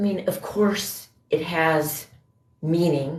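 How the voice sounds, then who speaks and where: Somewhat breathy and fairly low-pitched, a woman with an American accent speaks with fairly even intonation. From Indiana, US Midwest. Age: 50s. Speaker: livestreamer. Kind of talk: casual chat. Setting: livestream.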